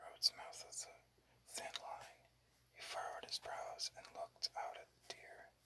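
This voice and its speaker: At a fairly slow pace, the voice stays in a whisper. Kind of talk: whispered ASMR book reading. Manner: whispered.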